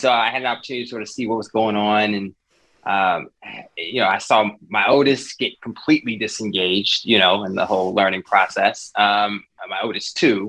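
With an American accent, a man talks at a fairly quick pace in an unremarkable speaking voice, his pitch fairly low and his intonation fairly even. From US South, rural. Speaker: parent advocacy leader, former teacher. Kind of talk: casual chat.

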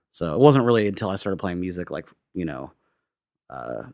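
Speaking at a very fast pace in a Midwestern American accent, a man with a very deep, low voice is heard on a very clean recording with a silent background. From US Midwest, Indiana (Bloomington). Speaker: singer-songwriter. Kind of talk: casual interview chat. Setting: quiet empty house.

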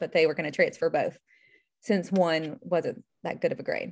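In an American accent, a woman uses an ordinary speaking voice at a moderate pace, recorded very cleanly with a silent background. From US South (Charlotte, North Carolina). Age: 30s. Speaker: IVF patient sharing her story. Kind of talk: casual interview, personal story.

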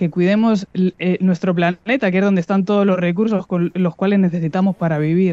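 A woman's dark, mellow tone at medium pitch and a moderate pace, dry and close with no echo. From Spain, Madrid. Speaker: podcast host, sustainability business consultant. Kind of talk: radio interview.

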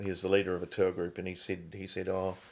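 A man with a New Zealand accent speaks in a very deep, low voice. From New Zealand, Christchurch. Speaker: painter. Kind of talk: interview.

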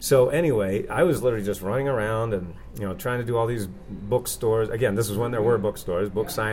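A man's fairly low voice at a very fast pace, with ordinary pitch variation and noticeable background noise. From Maine, New England. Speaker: author and success coach. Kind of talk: interview.

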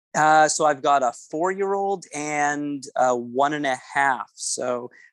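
A man with a Canadian accent has an unremarkable speaking voice, fairly high in pitch with ordinary variation. The sound is dry and close, with no echo. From Canada, Winnipeg, Manitoba. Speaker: event DJ and entertainer. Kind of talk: casual interview chat.

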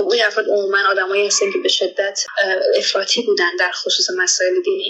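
A woman talks at a fairly quick pace. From Iran (Afghan immigrant family). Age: 20s. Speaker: doctoral student. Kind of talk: interview testimony.

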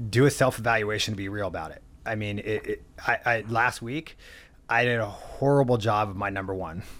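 Speaking with a Californian accent at medium pitch, a man is heard on a very clean recording with a silent background. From US West Coast, San Diego. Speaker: mortgage lender. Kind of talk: interview.

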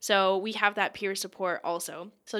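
Bright and sharp in tone, a voice with a Mid-Atlantic accent comes through on a very clean recording with a silent background. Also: woman. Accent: American, Mid-Atlantic. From Pennsylvania, US. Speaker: tech program manager, mental health advocate. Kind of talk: interview. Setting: office.

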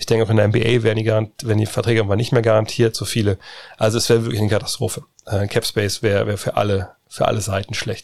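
A man at medium pitch, with an ordinary speaking voice, talks at a fairly quick pace in fairly even intonation. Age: middle-aged. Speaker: podcast host. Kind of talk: casual Q&A chat.

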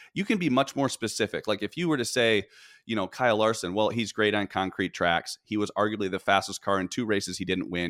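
A man with an American accent and a plain, everyday voice speaks at a fairly quick pace and fairly low pitch. The recording is very clean with a silent background, dry and close with no echo. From Michigan. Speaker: professional sports bettor. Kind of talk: podcast interview.

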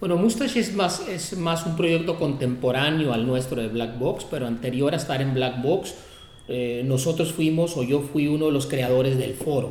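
At a moderate pace and with ordinary pitch variation, the voice comes through over noticeable background noise. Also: man, fairly high pitch for a man. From Tijuana, Mexico. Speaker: music producer and venue director. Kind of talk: interview. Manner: frequent fillers and repetitions.

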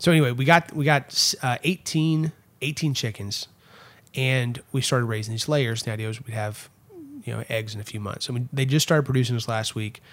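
A man with a Texan accent at medium pitch with ordinary pitch variation. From Texas, Erath County. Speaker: political consultant. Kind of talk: casual chat. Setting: home studio.

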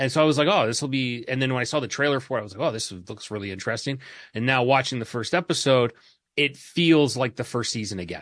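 Against a quiet background, a man speaks very fast at a medium pitch, with ordinary pitch variation and big swings in loudness. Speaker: co-host. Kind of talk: casual chat.

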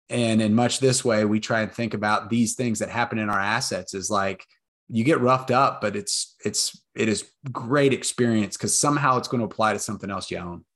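A man with an American accent talks at a fairly quick pace in an unremarkable speaking voice, his medium pitch showing ordinary variation, against a quiet background. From Texas, Austin. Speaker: real estate investor. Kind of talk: interview.

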